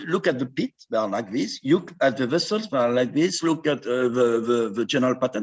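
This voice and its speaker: A man speaks at a moderate pace with a French accent. His pitch swings very widely. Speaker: endoscopist. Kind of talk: conference talk conversation.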